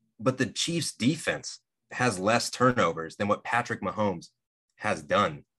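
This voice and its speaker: A man with a medium pitch and a bright, sharp tone talks at a fairly slow pace, showing vocal fry and very wide pitch swings, over a quiet background. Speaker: podcast co-host. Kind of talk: casual chat.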